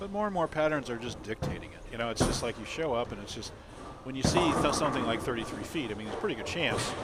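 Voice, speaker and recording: A man with a medium pitch at a very fast pace, lively intonation and big swings in loudness, amid noticeable background noise and audible room echo. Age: 60s. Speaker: bowling commentator. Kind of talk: live commentary. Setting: broadcast booth at bowling alley.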